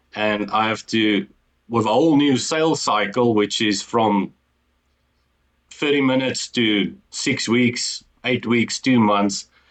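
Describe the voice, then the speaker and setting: A man with an Afrikaans South African accent talks at a very slow pace, his loudness very even against a quiet background. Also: medium pitch for a man, ordinary pitch variation. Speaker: entrepreneur. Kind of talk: interview. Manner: halting.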